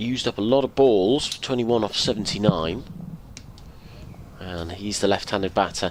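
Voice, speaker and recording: A man's pitch shifts in an ordinary way as he keeps a moderate tempo, with noticeable background noise present. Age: 60s. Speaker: radio cricket commentator. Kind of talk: live commentary.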